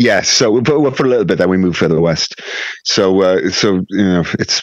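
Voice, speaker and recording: At a very even loudness, a man with a West Wales accent speaks at a fairly low pitch. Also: ordinary pitch variation, moderate pace. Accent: West Wales Welsh. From Wales (raised in Carmarthen, Swansea area, Pembrokeshire). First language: Welsh. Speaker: rock guitarist. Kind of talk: casual chat.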